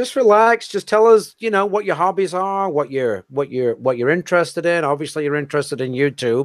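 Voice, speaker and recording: A man speaking at a moderate pace with very wide pitch swings, on a very clean recording with a silent background. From England. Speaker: YouTube coach and livestream host. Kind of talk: interview. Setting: live stream.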